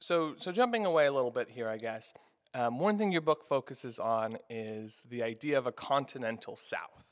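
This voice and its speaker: A man's medium-pitched, normal speaking voice with lively intonation. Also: moderate pace. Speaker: podcast host. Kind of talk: interview.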